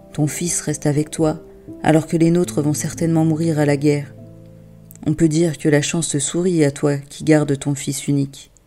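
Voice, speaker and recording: Music plays behind a woman whose very deep, low voice has a calm, gentle tone and monotone, flat intonation at a moderate pace. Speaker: wisdom tale narrator and parenting coach. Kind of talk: soothing wisdom tale for children, bedtime-story style. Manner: calm, gentle, soft-spoken.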